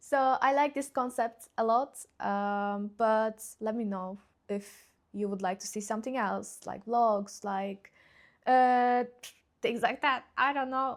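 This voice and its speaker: At a very slow pace, a woman with a Turkish accent speaks at a fairly high pitch and fairly even intonation. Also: very clean recording, silent background. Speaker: YouTuber, PhD graduate. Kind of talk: casual vlog chat. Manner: halting, many fillers.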